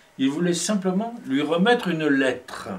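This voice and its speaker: Noticeable background noise and audible room echo surround the recording. A man speaks at a fairly slow pace. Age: 60s. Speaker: poet and filmmaker. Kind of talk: casual conversation. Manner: halting, many hesitations.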